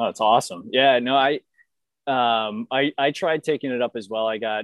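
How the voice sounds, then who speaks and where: A man talks at a moderate pace with an American accent and ordinary pitch variation. He has an unremarkable speaking voice. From Boston. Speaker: amateur hockey goalie. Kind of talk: casual chat.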